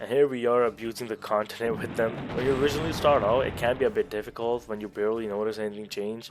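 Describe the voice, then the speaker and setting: With music in the background, the speaker goes at a very fast pace with hardly any pauses and fairly even intonation. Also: man, medium pitch for a man. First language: not English. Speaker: gaming video creator. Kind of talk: narrated game guide.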